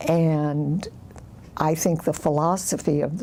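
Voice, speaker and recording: There is noticeable background noise as a woman with a very deep, low voice speaks at a very slow pace. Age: 70s. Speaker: oral history interviewee. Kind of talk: oral history interview. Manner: halting, many fillers.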